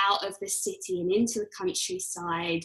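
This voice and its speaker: A woman talks at a moderate pace with a London accent. Her tone is bright and sharp. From London, England. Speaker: yoga teacher and coach. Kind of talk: casual chat.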